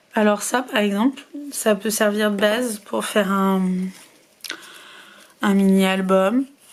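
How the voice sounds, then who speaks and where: A woman's fairly high voice comes with noticeable background noise. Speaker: scrapbooking crafter. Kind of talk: casual talk to camera.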